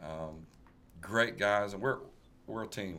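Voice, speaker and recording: A man speaks at a moderate pace with ordinary pitch variation. Audible room echo surrounds his voice. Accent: Tennessee. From West Tennessee (rural, near Covington). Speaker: musician. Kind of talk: casual interview chat.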